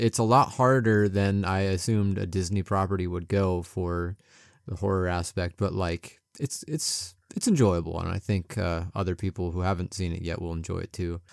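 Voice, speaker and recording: In a very clean recording with a silent background and a dry, close sound with no echo, a man with a fairly low pitch uses a normal speaking voice at a moderate pace. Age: 30s. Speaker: podcast co-host. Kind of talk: casual chat.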